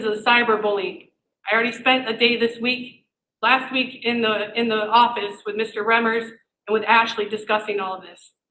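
A woman's fairly high voice, bright and sharp in tone, moves at a moderate pace. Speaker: parent speaking at public comment. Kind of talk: public comment at school board meeting. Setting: public meeting room without microphone. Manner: loud; animated.

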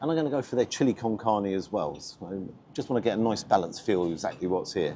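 With light background noise behind him, a man with a fairly low voice speaks at a very fast pace with lively intonation. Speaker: food reviewer. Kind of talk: casual vlog chat. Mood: upbeat, chatty. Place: street. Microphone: lapel.

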